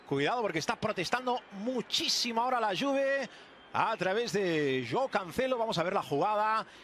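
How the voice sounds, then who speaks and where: Over noticeable background noise, a man talks at a high pitch with very wide pitch swings. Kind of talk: live commentary.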